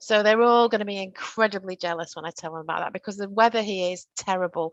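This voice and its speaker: A woman with a northern English accent speaks at a fairly quick pace with fairly even intonation, in a dry, close sound with no echo and a quiet background. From northern England. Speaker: workplace training presenter. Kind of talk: virtual training presentation.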